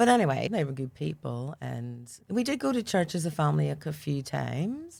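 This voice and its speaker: On a very clean recording with a silent background, a woman with a Northern Irish accent speaks at a moderate pace with hardly any pauses. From Northern Ireland, Belfast. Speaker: church member sharing testimony. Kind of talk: testimony interview.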